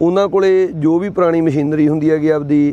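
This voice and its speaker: A man speaks at a high pitch with fairly even intonation. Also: dry sound with no echo. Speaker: farming channel host. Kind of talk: casual vlog chat. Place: street. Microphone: phone near.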